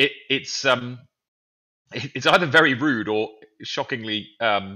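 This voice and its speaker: In a British accent, a man at medium pitch talks at a moderate pace with lively intonation and long, frequent pauses. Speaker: gaming podcast panelist. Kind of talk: casual chat. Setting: remote call, early morning. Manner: halting, many fillers.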